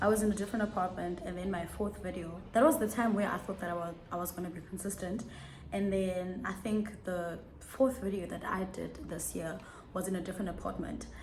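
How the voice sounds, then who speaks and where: Amid audible room echo, a woman with a medium pitch and ordinary pitch variation speaks at a fairly quick pace. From South Africa. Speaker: YouTuber. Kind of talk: casual chat. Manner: fast.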